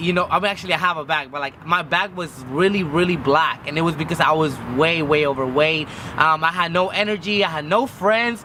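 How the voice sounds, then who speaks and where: Over noticeable background noise, a man talks at a fairly quick pace in a high pitch, with ordinary pitch variation and hardly any pauses. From Mexico. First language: Spanish. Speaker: vlogger. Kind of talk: personal vlog.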